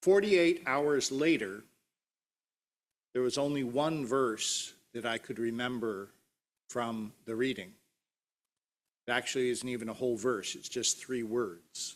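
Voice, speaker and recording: A man's medium-pitched voice at a fairly slow pace, with long, frequent pauses and ordinary pitch variation. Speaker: pastor. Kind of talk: sermon delivered to a congregation.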